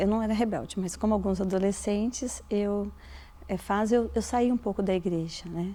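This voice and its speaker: Woman's voice of medium pitch, dark and mellow in tone, with fairly even intonation. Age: 50s. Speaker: biologist and university lecturer. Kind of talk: documentary interview.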